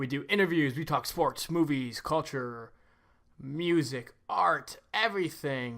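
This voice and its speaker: An unremarkable speaking voice moves at a fairly slow pace with lively intonation, on a very clean recording with a silent background. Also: man, fairly high pitch for a man. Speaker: podcast host. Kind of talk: podcast intro and interviewer. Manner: casual, joking.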